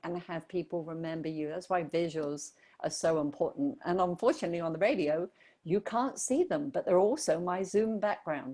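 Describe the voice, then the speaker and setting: A woman is speaking. She has an English accent. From southern England. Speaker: brand strategist. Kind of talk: radio interview.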